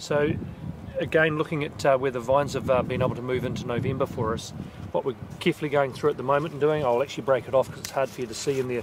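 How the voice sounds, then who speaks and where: A man with a New Zealand accent talks very fast at a medium pitch. His intonation is fairly even, and background noise is noticeable. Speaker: vineyard manager. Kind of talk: walking tour narration. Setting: outdoors. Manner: quiet.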